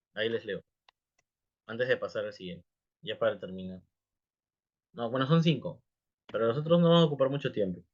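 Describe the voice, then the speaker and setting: The speech moves at a fairly quick pace with lively intonation, long and frequent pauses, and a somewhat breathy sound. Loudness swings widely. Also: man, fairly high pitch for a man. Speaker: English teacher. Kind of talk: live class talk. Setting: livestream. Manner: fast.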